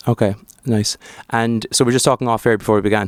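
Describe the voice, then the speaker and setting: A man talks at a fairly quick pace in a flat monotone. The sound is dry and close with no echo. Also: very clean recording, silent background. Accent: Irish. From Ireland. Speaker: podcast host. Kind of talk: interview. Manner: halting.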